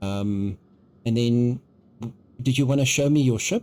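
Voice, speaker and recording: A man with a South African accent, medium pitch, dark and mellow tone, ordinary pitch variation and a moderate pace. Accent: South African, noticeable. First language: Afrikaans. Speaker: video game streamer. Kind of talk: live gameplay stream chat. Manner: hesitant, many ums; animated.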